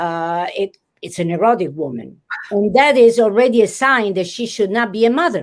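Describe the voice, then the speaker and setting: In an Italian accent, a woman speaks. Her pitch sits in the medium range. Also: lively intonation, moderate pace. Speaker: literature professor. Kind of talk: interview. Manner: animated; halting.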